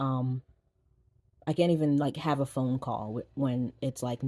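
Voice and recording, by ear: Fairly slow delivery in a dark, mellow tone, with fairly even intonation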